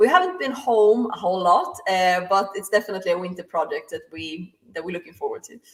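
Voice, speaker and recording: A woman speaks with a Swedish accent. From Sweden. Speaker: drag racing driver. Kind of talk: casual interview.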